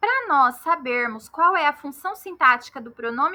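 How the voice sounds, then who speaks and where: A woman with a Mato Grosso do Sul accent speaks in a bright, sharp tone. Her pace is fairly slow and her intonation lively. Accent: Campo Grande, Mato Grosso do Sul. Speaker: Portuguese grammar teacher. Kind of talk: lecture. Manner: didactic, step-by-step.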